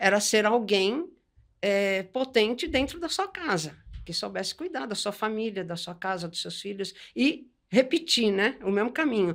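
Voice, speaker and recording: Very wide pitch swings at a fairly slow pace on a very clean recording with a silent background. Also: woman, fairly high pitch for a woman. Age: 60s. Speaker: textile artist. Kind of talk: podcast interview.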